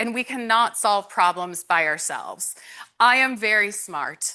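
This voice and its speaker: Against a quiet background, a woman speaks with a fairly high pitch and a bright, sharp tone. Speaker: conference presenter on employee benefits. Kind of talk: conference talk.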